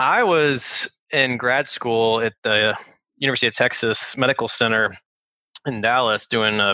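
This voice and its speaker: Speaking at a moderate pace, a man with a medium pitch and a bright, sharp tone keeps his intonation fairly even in a dry, close recording with no echo. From Louisville, Kentucky. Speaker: master distiller. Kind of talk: casual interview. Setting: video call.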